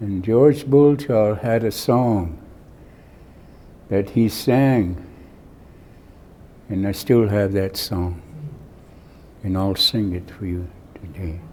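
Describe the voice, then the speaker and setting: Speaking at a very slow pace, a man leaves long, frequent pauses. His fairly low pitch shows ordinary variation. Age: 90s. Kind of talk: acceptance speech. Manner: halting.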